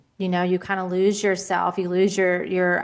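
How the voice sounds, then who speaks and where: In a South Carolina accent, a woman talks at a fairly quick pace with a medium pitch. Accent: Southern US, South Carolina. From US South, South Carolina. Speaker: podcast host, life coach. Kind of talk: interview podcast. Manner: animated.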